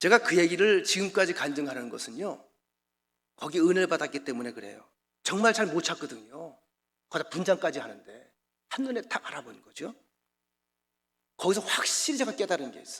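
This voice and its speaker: At a fairly quick pace, a man with a high pitch makes very wide pitch swings and big swings in loudness, leaving long, frequent pauses. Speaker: pastor. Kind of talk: sermon. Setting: church. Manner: fast; animated.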